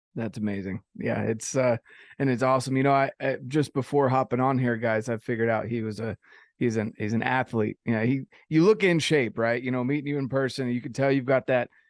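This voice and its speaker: A man with an American accent and a normal speaking voice, medium in pitch with ordinary pitch variation, at a fairly quick pace in a dry, close sound with no echo. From North Carolina. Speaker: podcast host. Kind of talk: casual chat.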